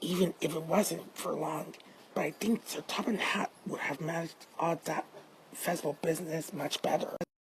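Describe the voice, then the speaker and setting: Putting on a raspy character voice, a woman talks at a moderate pace with a fairly low pitch. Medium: read story. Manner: gentle, wistful.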